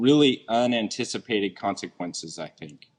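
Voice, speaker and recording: A man speaks at a medium pitch and moderate pace with ordinary pitch variation. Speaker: deputy police chief. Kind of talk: speech at community event. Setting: event hall with audience, microphone. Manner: loud.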